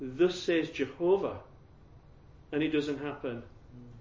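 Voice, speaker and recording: A man speaks with a Yorkshire accent. His pace is fairly slow. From Yorkshire, England. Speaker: evangelist teaching about Jehovah's Witnesses. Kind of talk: talk to a group. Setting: room with audience, handout, no PowerPoint.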